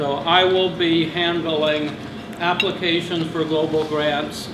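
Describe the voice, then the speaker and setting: A man speaks at a fairly slow pace against noticeable background noise. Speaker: guest. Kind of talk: club presentation talk. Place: hall. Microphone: camera far.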